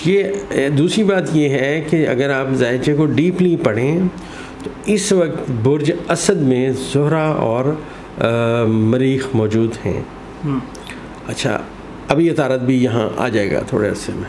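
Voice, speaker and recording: There is light background noise behind the man. He speaks at a very slow pace. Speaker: interviewee. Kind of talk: interview answer. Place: office.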